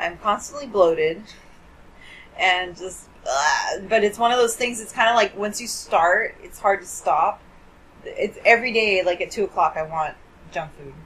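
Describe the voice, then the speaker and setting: Delivered at a moderate pace, the speech has lively intonation, an animated tone and big swings in loudness. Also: woman, medium pitch for a woman. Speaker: podcast host. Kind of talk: casual chat. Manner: joking, animated.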